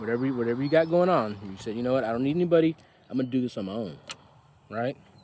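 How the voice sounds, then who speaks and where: A very fast man at medium pitch, with noticeable background noise. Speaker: tarot reader. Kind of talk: tarot reading. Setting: outdoors. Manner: halting.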